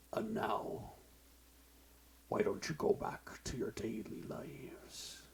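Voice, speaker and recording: Whispering in a put-on character voice, a man speaks at a fairly slow pace with long, frequent pauses over clear background noise. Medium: read story.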